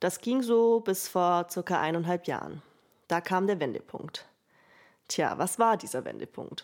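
At a fairly slow pace, a woman with a fairly low voice speaks with long, frequent pauses in a very clean recording with a silent background. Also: ordinary pitch variation. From Allgäu, southern Germany (Bavaria). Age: 20s. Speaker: student podcaster. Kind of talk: personal storytelling monologue.

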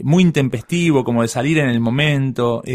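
At a moderate pace, a man talks in a plain, everyday voice with lively intonation. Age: 30s. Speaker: podcast guest. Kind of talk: casual chat.

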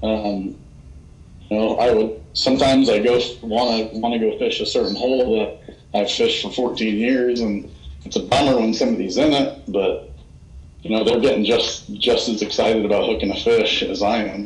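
There is audible room echo around this voice. A man speaks at a moderate pace. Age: 30s. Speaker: fly fishing ambassador. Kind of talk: casual interview.

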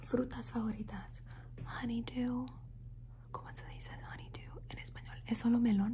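Long, frequent pauses break up fairly slow speech against noticeable background noise. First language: English (speaking Spanish). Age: 20s. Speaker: ASMR youtuber. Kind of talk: ASMR Q&A video. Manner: soft whispered ASMR delivery; repetitive word looping.

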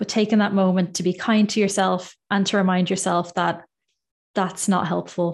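A woman speaks at a moderate pace with an Irish accent. Her intonation stays flat and monotone. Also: medium pitch for a woman, quiet background. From Ireland. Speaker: dietitian. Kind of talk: interview. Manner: calm.

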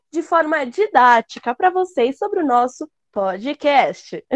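A woman's high-pitched voice with very wide pitch swings, very slow, dry and close with no echo. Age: young. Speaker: podcast co-host. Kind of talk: casual chat.

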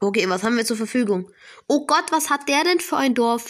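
The speaker's tone is animated, with ordinary pitch variation. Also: woman. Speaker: gaming podcaster. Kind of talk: gameplay commentary. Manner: hesitant, many fillers.

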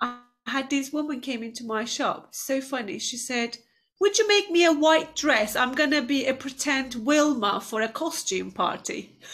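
Speaking in a Turkish accent, a woman uses a high pitch and lively intonation at a moderate pace. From Turkey. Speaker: entrepreneur, business owner. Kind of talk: interview, motivational talk. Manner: passionate, inspirational.

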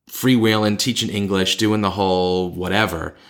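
The speaker has an American accent. The recording is very clean, with a silent background. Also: man. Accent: thick regional American. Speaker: podcast host. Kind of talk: casual chat.

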